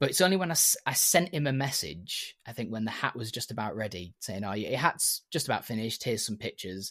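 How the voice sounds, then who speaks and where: In a Yorkshire accent, a man speaks at a very fast pace with very wide pitch swings, in a dry, close sound with no echo and a very clean recording over a silent background. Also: medium pitch for a man. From Yorkshire, northern England. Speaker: hat maker. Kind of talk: casual chat.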